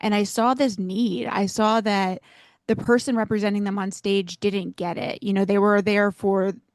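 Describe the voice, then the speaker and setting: In a plain, everyday voice, a woman speaks at a medium pitch and moderate pace against a quiet background. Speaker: fundraising auctioneer. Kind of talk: podcast interview answer.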